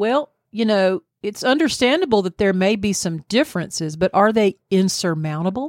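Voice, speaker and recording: With a Southern US accent, a woman speaks at a medium pitch and moderate pace, with lively intonation and hardly any pauses. The recording is very clean, with a silent background and a dry, close sound with no echo. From US South. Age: 60s. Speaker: podcast co-host. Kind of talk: casual chat.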